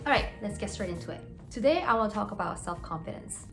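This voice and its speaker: Very fast speech with audible room echo and noticeable background noise. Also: woman. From South Korea, moved to US at 11. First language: Korean. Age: 30s. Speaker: dentist and lifestyle vlogger. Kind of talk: casual vlog talk to camera. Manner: casual, filler-heavy (many 'like's).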